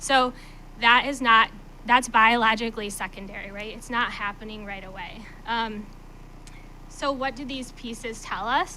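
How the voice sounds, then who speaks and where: Through noticeable background noise, a woman with a fairly high pitch and fairly even intonation speaks with long, frequent pauses. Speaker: literacy coach. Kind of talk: presentation. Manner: fast; hesitant, many fillers.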